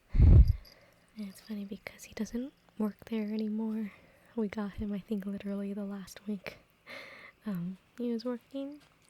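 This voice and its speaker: Whispering and soft-spoken, a woman talks in a calm tone at a fairly slow pace. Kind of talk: ASMR soft-spoken talk. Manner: soft-spoken, whispered, calm.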